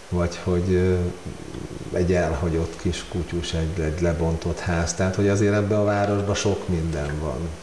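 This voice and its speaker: Against noticeable background noise, a man with a very deep, low voice speaks at a moderate pace with fairly even intonation. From Hungary. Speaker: amateur photographer. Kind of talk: casual interview. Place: home room. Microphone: lapel.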